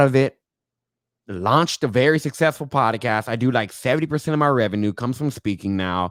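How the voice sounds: Soft-spoken and at a medium pitch, a man talks with lively intonation. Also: fairly bright tone.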